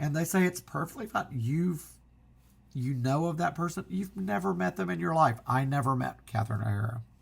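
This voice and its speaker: A somewhat breathy man's voice, fairly high in pitch, at a fairly quick pace. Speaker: physical media collector. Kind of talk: casual talk to camera.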